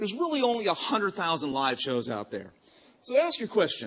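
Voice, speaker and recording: Loud and very fast, a man speaks. He has a slight Virginia accent. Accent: slight Virginia twang. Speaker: podcast design studio co-founder, conference speaker. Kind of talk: conference talk. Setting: stage with audience.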